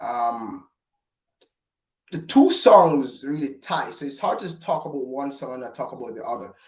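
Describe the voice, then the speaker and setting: A fairly high-pitched man with a strong Jamaican accent. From Jamaica, Falmouth. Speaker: gospel recording artist. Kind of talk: interview. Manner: halting.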